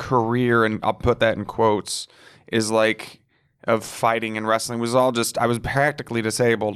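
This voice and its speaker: In a very clean recording over a silent background, a man with an unremarkable speaking voice talks at a moderate pace and medium pitch. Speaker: comedian. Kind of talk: casual chat, podcast interview. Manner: casual, profane, joking.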